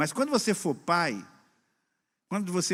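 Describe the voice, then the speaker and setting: The background is silent on this very clean recording. A man talks at a moderate pace. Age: 60s. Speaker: pastor. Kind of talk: sermon. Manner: conversational.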